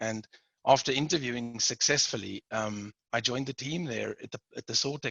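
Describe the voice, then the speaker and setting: A man speaks with a South African accent. His pace is moderate and his pitch varies in an ordinary way. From South Africa, Port Elizabeth. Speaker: manufacturing director. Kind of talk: interview.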